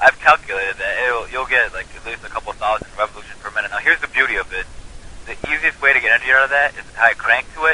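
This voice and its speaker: Noticeable background noise sits behind this recording. A man talks at a very fast pace. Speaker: online activist. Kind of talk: casual chat. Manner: animated.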